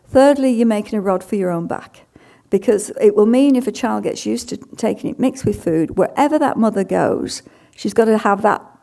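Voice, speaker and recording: A woman with a British accent, fairly high in pitch, with a dark, mellow tone. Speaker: dietitian. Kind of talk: conference talk Q&A. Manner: halting.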